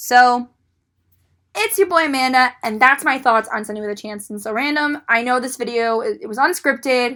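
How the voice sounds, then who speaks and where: On a very clean recording with a silent background, a woman speaks at a high pitch and a moderate pace, animated, with lively intonation and a bright, sharp tone. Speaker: YouTuber discussing TV shows. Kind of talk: casual unscripted vlog monologue. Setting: solo on camera. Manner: loud; rambling, animated.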